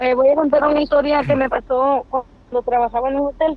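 Here a woman talks with a high pitch and fairly even intonation. Her pace is moderate. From Reynosa, Tamaulipas, Mexico. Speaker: caller, former hotel maid. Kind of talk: storytelling. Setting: phone call.

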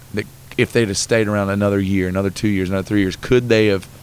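A man talks with fairly even intonation. His pitch sits fairly low. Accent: Southern US. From North Carolina. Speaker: musician. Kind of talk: interview. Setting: in person in Texas.

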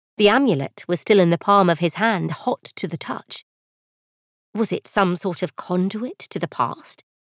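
In a very clean recording with a silent background and a dry, close sound with no echo, a woman talks in an ordinary speaking voice at a moderate pace, with medium pitch and lively intonation. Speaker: audiobook narrator. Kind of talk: dramatic audiobook narration. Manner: measured and storytelling.

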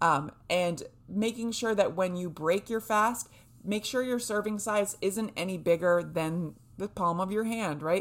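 A woman's medium-pitched voice with an American accent, animated in tone, at a fairly slow pace with ordinary pitch variation, on a very clean recording against a silent background. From New Hampshire, US. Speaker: podcast host and fasting coach. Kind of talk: casual solo podcast talk.

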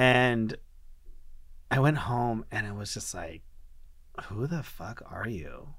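At a very slow pace full of long, frequent pauses, a man speaks with lively intonation and big swings in loudness, with audible room echo. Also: medium pitch for a man. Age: 20s. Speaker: guest sharing HIV diagnosis story. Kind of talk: testimony. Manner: casual, halting with fillers.

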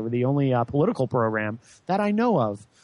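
A man with an American accent moves at a fairly quick pace with very wide pitch swings. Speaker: radio host. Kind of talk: live political talk radio. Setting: studio. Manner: animated, raises voice on politics.

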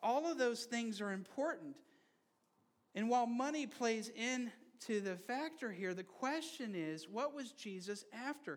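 Pausing long and often, a man with an extremely high pitch speaks at a fairly slow pace with lively intonation. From Brazil. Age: 30s. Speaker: pastor. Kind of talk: sermon. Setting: church.

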